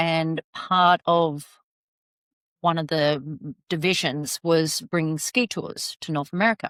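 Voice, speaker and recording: A woman with an Australian accent speaks very slowly at a fairly low pitch with ordinary pitch variation, in a dry, close sound with no echo on a very clean recording with a silent background. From Australia, Sydney. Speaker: travel advisor. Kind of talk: casual interview chat.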